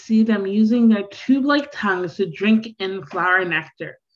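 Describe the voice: The voice is plain reading aloud. Its pitch varies an ordinary amount.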